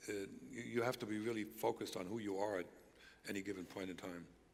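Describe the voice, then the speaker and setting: Vocal fry marks a man's fairly low voice as he talks at a very fast pace with fairly even intonation amid audible room echo. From East Germany. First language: German. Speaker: former spy, speaker. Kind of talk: stage interview. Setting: church stage with audience.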